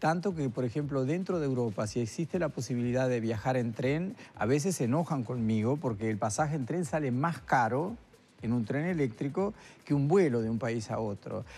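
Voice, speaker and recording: A man's lively intonation at a moderate pace, with faint music in the background. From Uruguay (Isla Mala, Florida); Uruguay. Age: 70s. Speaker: retired neurosurgeon and artist; guest. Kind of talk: interview. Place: studio. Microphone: lapel.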